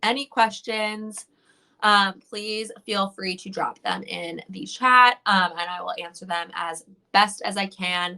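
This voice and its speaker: Speaking at a very slow pace, a woman with a medium pitch and a bright, sharp tone keeps a fairly even intonation while her loudness swings widely. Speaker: beauty influencer. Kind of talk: livestream product review. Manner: casual, filler-heavy.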